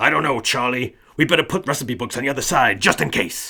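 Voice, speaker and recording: A man's put-on character voice, fairly quick, with lively intonation. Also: medium pitch for a man. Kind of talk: 1960s-style business talk. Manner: pushy, overbearing.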